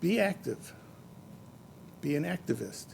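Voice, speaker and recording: The voice is somewhat breathy and dark, mellow in tone, moving at a fairly slow pace. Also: man. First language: not English. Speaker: event organizer and master of ceremonies; retired teacher and scientist. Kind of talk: speech at award ceremony. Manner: halting, with frequent fillers.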